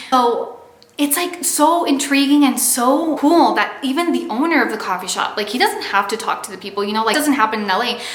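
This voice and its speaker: Speaking at a fairly quick pace with a Californian accent, a woman with a high pitch sounds animated and uses lively intonation, amid audible room echo and noticeable background noise. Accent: Californian American English. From Los Angeles, California. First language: Spanish. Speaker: vlogger. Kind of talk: casual vlog talk to camera. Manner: animated, filler-heavy.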